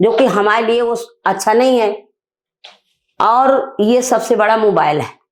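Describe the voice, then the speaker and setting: This woman has a fairly high pitch and ordinary pitch variation. She leaves long, frequent pauses. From Bundelkhand, northern India. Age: 60s. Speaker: women's rights activist. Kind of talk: interview. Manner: emphatic.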